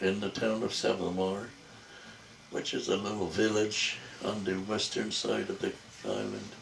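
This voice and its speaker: Speaking at a moderate pace with long, frequent pauses, a man is heard over noticeable background noise and audible room echo. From Jamaica. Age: old. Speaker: family elder interviewed by his son. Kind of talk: family interview. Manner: halting.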